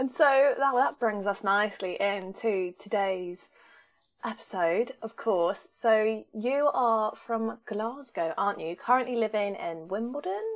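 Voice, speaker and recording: A woman with a southern English accent speaks at a fairly slow pace, her pitch fairly high for a woman with ordinary variation. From southern England. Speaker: podcast host. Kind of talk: casual interview chat.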